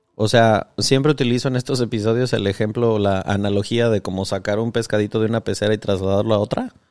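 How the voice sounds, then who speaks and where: A man with a Mexican accent talks at a very fast pace in a fairly low pitch, with fairly even intonation and hardly any pauses. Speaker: podcast host. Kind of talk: casual interview chat.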